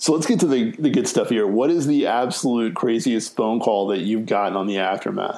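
With an American accent, this speaker talks at a fairly quick pace and hardly pauses at all. The tone is dark and mellow, the intonation lively. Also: man, medium pitch for a man. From North Carolina, Raleigh area. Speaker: podcast host. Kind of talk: casual interview.

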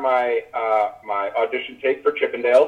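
A man's normal speaking voice with an American accent, ordinary pitch variation and a moderate pace. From US Midwest, small-town Illinois. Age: 30s. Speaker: former reality TV contestant. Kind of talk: casual interview chat.

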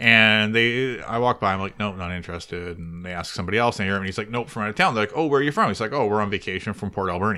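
With a Canadian accent, a man at a fairly low pitch speaks at a very fast pace with hardly any pauses, ordinary pitch variation, and a bright, sharp tone, on a very clean recording with a silent background. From Victoria, British Columbia, Canada. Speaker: podcast co-host. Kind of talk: casual chat.

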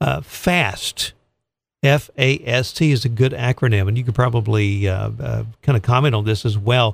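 Somewhat breathy and medium in pitch, this man speaks at a moderate pace with ordinary pitch variation. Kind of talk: radio interview. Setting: radio studio.

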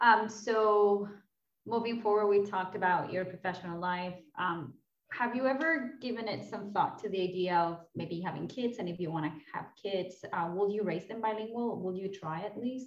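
Using a normal speaking voice, a woman talks at medium pitch and moderate pace with ordinary pitch variation. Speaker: podcast host. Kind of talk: casual interview chat.

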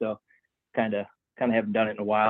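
This man talks with an American accent. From upstate New York. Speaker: former pro flat track racer. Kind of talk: interview.

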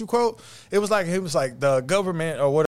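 The man's voice sits high in pitch and carries lively intonation. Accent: American. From East Texas. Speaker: podcast co-host. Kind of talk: casual chat.

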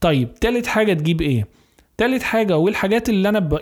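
Over a very clean recording with a silent background, a man speaks at a fairly quick pace with lively intonation. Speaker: gardening YouTuber and podcaster. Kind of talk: solo podcast monologue.

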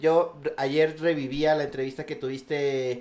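A man speaks in a plain, everyday voice at a fairly high pitch. His pace is fairly slow. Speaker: podcast host. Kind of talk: casual chat.

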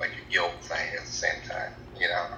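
A man with an American accent speaks at a fairly slow pace. Noticeable background noise and audible room echo are present in the recording. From Iowa, US Midwest. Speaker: navy veteran and pharmacy tech. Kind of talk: interview. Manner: halting.

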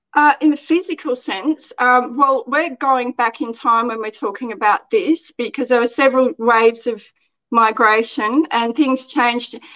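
In an Australian accent, a woman speaks at a high pitch and a moderate pace. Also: ordinary pitch variation. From Australia, outback Queensland. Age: 40s. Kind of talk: interview.

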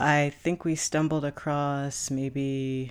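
A woman talks at a very slow pace. Her pitch is very deep and low. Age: 20s. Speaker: podcaster. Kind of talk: solo podcast monologue. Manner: hesitant, many fillers.

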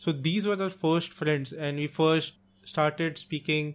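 In an Indian accent, a man talks at a fairly slow pace. His intonation stays fairly even. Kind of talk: casual chat. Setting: home recording.

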